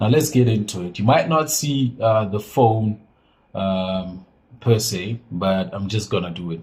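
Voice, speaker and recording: With a fairly low pitch and a somewhat breathy sound, a man speaks at a fairly slow pace using lively intonation. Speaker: phone and laptop repair technician. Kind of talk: tutorial. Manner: casual, halting with fillers.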